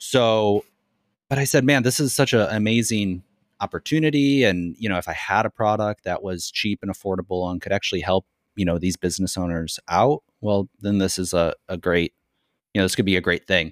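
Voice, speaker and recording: A man's fairly low voice at a fairly quick pace, with ordinary pitch variation and a dry, close sound with no echo, on a very clean recording with a silent background. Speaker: content creator and educator. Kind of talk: casual interview chat.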